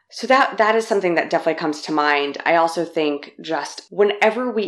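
Here a woman speaks with an American accent at a moderate pace. Her voice sits fairly low, with ordinary pitch variation. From Los Angeles, US. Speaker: political press secretary. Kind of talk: interview.

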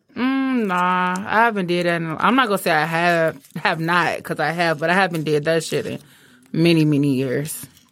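An unremarkable speaking voice from a woman, fairly low in pitch with ordinary pitch variation, in a very clean recording with a silent background. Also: moderate pace. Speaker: guest. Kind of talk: casual chat, raunchy banter.

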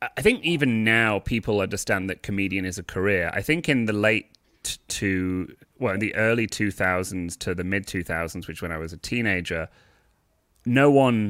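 A man with a British accent speaks in a fairly low voice. His pitch moves in an ordinary way, at a moderate pace. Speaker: stand-up comedian. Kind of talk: casual interview chat.

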